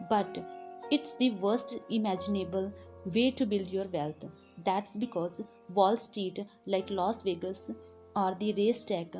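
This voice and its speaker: A woman with an Indian accent, medium pitch and ordinary pitch variation, at a fairly slow pace with long, frequent pauses and music in the background. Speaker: audiobook narrator. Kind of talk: audiobook reading.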